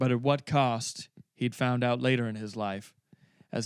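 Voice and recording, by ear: Someone is reading aloud in a natural voice with fairly even intonation against a quiet background.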